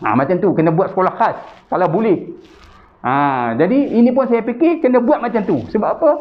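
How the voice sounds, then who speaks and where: A man's high voice at a fairly quick pace, with very wide pitch swings and very even loudness. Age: 60s. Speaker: chairman of a Malay business association. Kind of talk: interview. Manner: hesitant with fillers.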